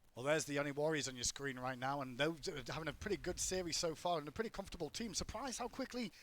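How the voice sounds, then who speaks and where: A man speaks at a very fast pace with an English accent. His pitch is fairly high. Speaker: esports commentator. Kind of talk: live commentary; on-air announcement.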